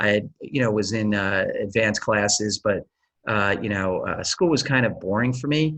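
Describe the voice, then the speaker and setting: With an American accent, a man has an unremarkable speaking voice, moderate in pace and ordinary in pitch variation. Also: fairly low pitch for a man. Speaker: tech executive and Air Force veteran. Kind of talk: interview.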